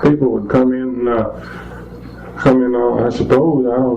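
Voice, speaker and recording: A man speaks with a Virginia accent. Noticeable background noise runs under his voice. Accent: rural Virginia. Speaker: farmer. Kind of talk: interview answer.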